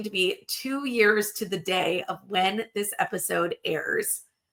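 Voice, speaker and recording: A woman speaks with lively intonation and a fairly high pitch. Her tone is bright and sharp. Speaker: women's empowerment mentor. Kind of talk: personal storytelling podcast. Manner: warm, intimate.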